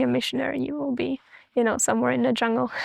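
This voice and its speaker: A woman with a fairly high pitch and ordinary pitch variation is heard in a dry, close sound with no echo. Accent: Austrian. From Austria. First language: German. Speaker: missionary. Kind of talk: interview testimony.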